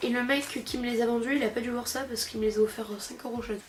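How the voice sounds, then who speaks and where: The speech comes at a very fast pace with ordinary pitch variation. Noticeable background noise is present. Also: woman. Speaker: comic book youtuber. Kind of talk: casual vlog review. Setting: sitting on a couch at home. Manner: hesitant, many fillers.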